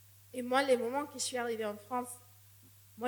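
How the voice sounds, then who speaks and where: Over noticeable background noise and audible room echo, a woman talks fairly quickly in a high voice with monotone, flat intonation. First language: not French (speaking French). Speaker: missionary. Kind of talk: sermon. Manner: halting, with repetitions.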